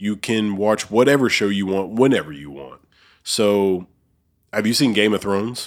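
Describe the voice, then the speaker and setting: At a moderate pace, a man with an unremarkable speaking voice and fairly low pitch uses lively intonation and big swings in loudness, in a very clean recording with a silent background. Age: 30s. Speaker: podcast host. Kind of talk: casual chat. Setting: studio.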